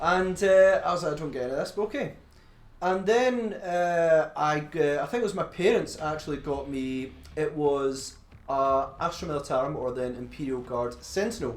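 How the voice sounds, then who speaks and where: In a strong Glaswegian accent, the speaker talks at a moderate pace with lively intonation, and room echo is audible. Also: man, fairly high pitch for a man. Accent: thick Glaswegian Scottish. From Scotland, Glasgow. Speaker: podcast co-host. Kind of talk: casual chat.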